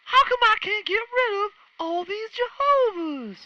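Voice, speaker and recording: A man's put-on character voice, squeaky and extremely high-pitched. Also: moderate pace. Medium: stage play.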